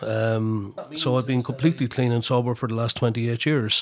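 This man speaks in a Wexford Irish accent with fairly even intonation. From Ireland, County Wexford. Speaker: historian, lecturer and folk radio presenter. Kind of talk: interview about personal recovery and drug policy.

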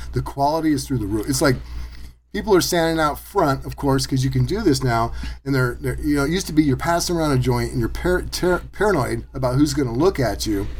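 A man's very fast speech with audible room echo. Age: 50s. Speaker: podcast host and maker. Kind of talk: casual chat.

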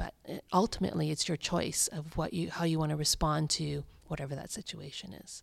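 Over a very clean recording with a silent background, a woman with a very deep, low pitch and vocal fry talks at a fairly quick pace with hardly any pauses and ordinary pitch variation. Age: 50s. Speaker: clinical psychologist. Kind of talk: interview.

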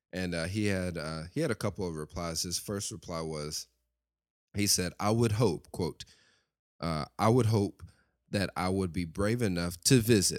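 The speaker has a Southern US accent and a moderate pace. The recording is very clean, with a silent background. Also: man, very deep, low pitch for a man, ordinary pitch variation. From West Tennessee, US South. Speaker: podcast host. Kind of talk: monologue podcast episode with prayer.

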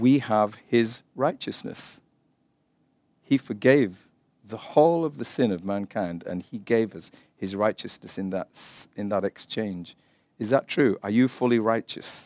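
In an English accent, a man at medium pitch speaks at a fairly slow pace with long, frequent pauses, big swings in loudness and ordinary pitch variation, captured dry and close with no echo on a very clean recording with a silent background. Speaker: Bible teacher. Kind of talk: sermon.

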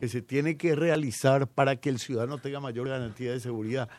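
On a very clean recording with a silent background, a man speaks at a fairly quick pace. He has a fairly high pitch and a normal speaking voice. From Paraguay. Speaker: politician, incoming justice minister. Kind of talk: radio interview. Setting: radio studio.

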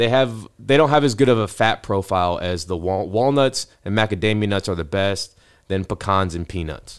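A man talks at a moderate speed in an unremarkable speaking voice, his pitch varying in an ordinary way, on a very clean recording with a silent background. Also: fairly low pitch for a man. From Ohio, US Midwest. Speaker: doctor. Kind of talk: interview.

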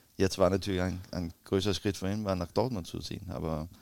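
Fairly low-pitched man with a Danish accent. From Denmark, Copenhagen area. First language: Danish (speaking German). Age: 40s. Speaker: retired footballer, player agent. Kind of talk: interview. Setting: hotel. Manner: halting.

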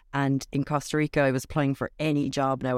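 A woman's very deep, low voice with a Cork accent, fairly quick, dry and close with no echo, on a very clean recording with a silent background. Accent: Cork Irish. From Ireland, Cork. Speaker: video coach. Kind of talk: interview on a live stream.

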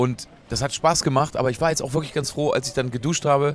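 Very fast talking comes through noticeable background noise. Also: man. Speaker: musician. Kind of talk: interview.

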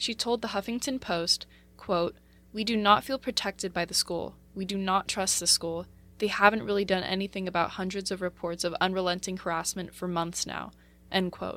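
Woman with a normal speaking voice at medium pitch, moderate pace and fairly even intonation, in a very clean recording with a silent background. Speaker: radio news reporter. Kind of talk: news reading. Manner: formal, even-paced newsreader delivery; measured and neutral, reading a script.

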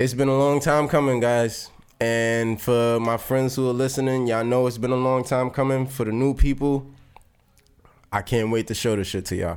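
With an American accent, a man uses a normal speaking voice at medium pitch, keeping fairly even intonation and a moderate pace. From Brooklyn, New York. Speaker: teacher, dancer and poet. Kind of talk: casual chat.

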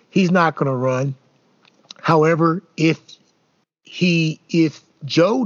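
At a very slow pace, a man speaks in a fairly high pitch. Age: 60s. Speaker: podcast host and co-host. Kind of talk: casual chat about politics.

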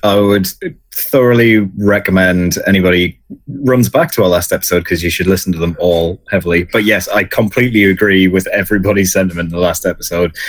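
Talking at a fairly quick pace, a man with a British accent has a fairly low voice. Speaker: podcast host. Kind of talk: casual chat.

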